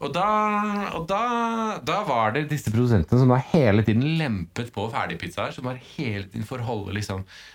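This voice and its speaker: Speaking at a moderate pace, a man barely pauses. His medium pitch moves in very wide swings. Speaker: podcast co-host. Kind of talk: casual chat. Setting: studio, recorded standing.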